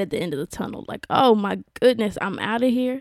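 A woman's warm, enthusiastic tone with ordinary pitch variation and a moderate pace, in a dry, close sound with no echo and a very clean recording with a silent background. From South Carolina, US. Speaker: podcast host. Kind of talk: solo podcast monologue. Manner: warm, enthusiastic, animated.

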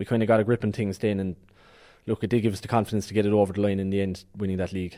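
Very fast and monotone, a man with a Cork accent speaks in a dark, mellow tone with flat intonation. The recording is very clean, with a silent background. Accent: Cork Irish. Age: 20s. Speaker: Gaelic football team captain. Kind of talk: sports interview. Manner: hesitant, many fillers.

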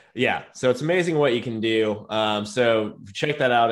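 A man is heard in a very clean recording against a silent background. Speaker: podcast host, software company team member. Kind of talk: casual chat.

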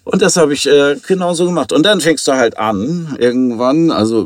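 A man talks at a fairly slow pace. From Hamburg, Germany. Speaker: drinks entrepreneur. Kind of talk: interview. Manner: hesitant, many fillers.

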